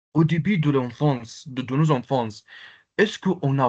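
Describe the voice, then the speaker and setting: With an Arabic accent, a man talks in a somewhat breathy voice pitched fairly high. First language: Arabic (speaking French). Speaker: Arabic language teacher. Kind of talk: online lecture with participant Q&A. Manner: halting, many hesitations.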